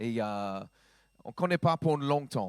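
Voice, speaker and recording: A man with an American accent, very slow in pace, with lively intonation. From US South, Georgia. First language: English (speaking French). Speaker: pastor. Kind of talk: sermon. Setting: church. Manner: halting.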